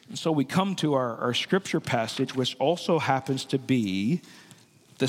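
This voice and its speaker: A man with a medium-pitched voice speaks at a moderate pace with lively intonation. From Newfoundland and Labrador, Canada. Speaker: pastor. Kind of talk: sermon. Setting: church. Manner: halting, frequent word repetitions.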